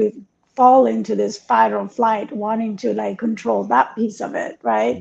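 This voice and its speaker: A woman's voice at a moderate pace, with big swings in loudness. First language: not English. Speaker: podcast co-host. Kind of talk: casual chat. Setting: video call.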